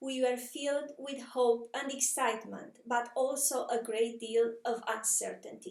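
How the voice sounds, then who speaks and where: Speaking with a Romanian accent, a woman talks at a high pitch and a moderate pace. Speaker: communications professional. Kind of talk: personal story narration.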